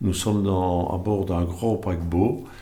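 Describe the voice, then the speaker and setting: A man's fairly low, somewhat breathy voice with a dark, mellow tone and ordinary pitch variation, at a very slow pace amid audible room echo. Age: 60s. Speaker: service club candidate. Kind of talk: candidacy statement. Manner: halting, many hesitations.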